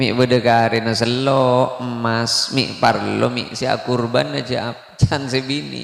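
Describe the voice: With a fairly bright tone and vocal fry, a man talks at a fairly slow pace and medium pitch, keeping his intonation fairly even.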